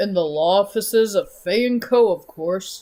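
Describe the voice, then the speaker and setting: A man puts on a character voice with a high pitch. He talks at a moderate pace. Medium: game stream. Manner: emphatic, deductive.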